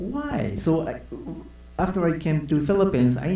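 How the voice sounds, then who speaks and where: A man with a Japanese accent speaks at a moderate pace in a somewhat breathy voice, with audible room echo. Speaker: panelist. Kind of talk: press conference answer. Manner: halting, many fillers.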